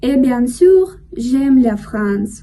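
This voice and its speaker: Her high-pitched delivery carries lively intonation as this woman speaks. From Russia. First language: Russian (speaking French). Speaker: language learner vlogger. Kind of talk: casual monologue vlog. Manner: careful, learner-paced.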